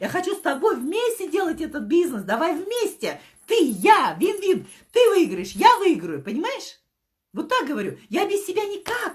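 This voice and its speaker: In an animated tone, a woman with an extremely high pitch speaks at a moderate pace, her pitch swinging very widely. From Kazakhstan. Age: 50s. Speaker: network marketing director. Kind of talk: motivational talk. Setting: live stream.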